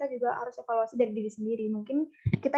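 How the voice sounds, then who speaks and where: Her pace is very fast. The woman's fairly high voice has a dark, mellow tone. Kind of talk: public speaking, conversational.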